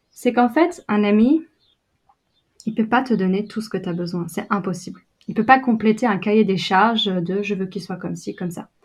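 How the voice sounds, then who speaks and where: In a quiet background, a woman with a somewhat breathy, medium-pitched voice speaks at a fairly quick pace, with ordinary pitch variation and big swings in loudness. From France, Brittany. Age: 20s. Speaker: photographer and video producer. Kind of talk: casual interview. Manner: hesitant, many fillers.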